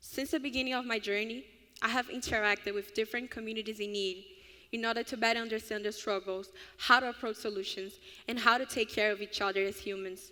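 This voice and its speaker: Speaking very fast in a Brazilian Portuguese accent, a woman has a fairly high pitch, fairly even intonation, and a bright, sharp tone on a very clean recording with a silent background. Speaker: honors college student. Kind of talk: student speech at ceremony.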